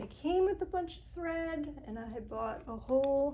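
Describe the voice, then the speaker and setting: Soft-spoken, a woman with a high pitch talks at a fairly slow pace with ordinary pitch variation. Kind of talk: casual soft-spoken talk to camera, thinking aloud while crafting. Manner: soft-spoken, unhurried, muttering to self.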